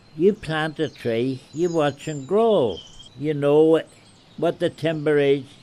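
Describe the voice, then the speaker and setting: A man speaking at a fairly slow pace with fairly even intonation, noticeable background noise behind him. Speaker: retired forestry worker. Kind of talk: oral history interview.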